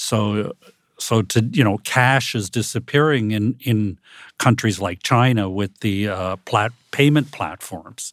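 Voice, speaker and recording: A man with an American accent speaks at a very slow pace, his pitch fairly low with ordinary variation. The recording is very clean and silent in the background, with a dry, close sound and no echo. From United States. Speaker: professor. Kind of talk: panel discussion. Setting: studio.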